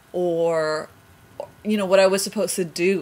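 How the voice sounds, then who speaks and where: Her intonation stays fairly even. The woman's pitch is fairly low. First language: Spanish. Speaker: vlogger. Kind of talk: personal storytelling. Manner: hesitant, many fillers.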